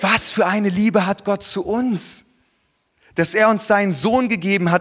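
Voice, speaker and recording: A man speaks in an animated tone. His pitch is high, with ordinary variation. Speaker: preacher. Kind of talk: sermon. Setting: church. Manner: earnest, warm, conversational preaching with personal anecdotes; animated, rhetorical questions and direct address to congregation.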